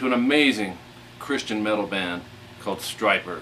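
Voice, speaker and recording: Mumbling, a man speaks at a fairly low pitch with lively intonation. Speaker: guitar instructor. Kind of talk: casual talk to camera before a guitar lesson. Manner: mumbling, halting with fillers.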